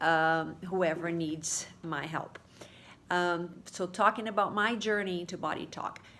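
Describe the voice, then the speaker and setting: Fairly slow and fairly even in intonation, a woman with a Portuguese accent speaks with a bright, sharp tone at a fairly low pitch. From Brazil. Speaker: holistic therapy practitioner. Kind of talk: casual video talk to followers. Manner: halting, many fillers.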